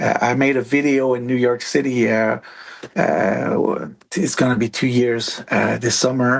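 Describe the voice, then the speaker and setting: Noticeable background noise sits behind a man speaking with a French accent. He goes at a fairly slow pace with fairly even intonation. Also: medium pitch for a man, very even loudness. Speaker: musician. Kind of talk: casual chat. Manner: halting.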